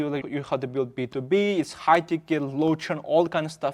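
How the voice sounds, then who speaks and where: The man talks at a fairly quick pace with a fairly high pitch and ordinary pitch variation. He has a non-native accent, and the background is quiet. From Xinjiang, China (Uyghur). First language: Uyghur. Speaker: startup founder. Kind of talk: podcast interview. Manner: halting, with self-corrections.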